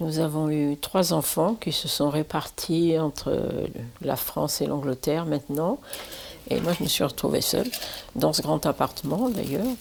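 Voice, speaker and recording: This woman's voice sits very deep and low, with vocal fry and lively intonation. She talks at a fairly slow pace and her loudness stays very even. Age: 80s+. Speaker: retiree sharing her home with a student. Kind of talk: documentary interview.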